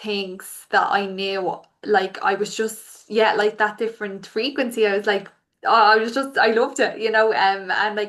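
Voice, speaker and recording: Against a quiet background, the voice carries an Irish accent, moving at a moderate pace with fairly even intonation. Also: woman. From Ireland. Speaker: podcast host. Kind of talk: casual interview chat.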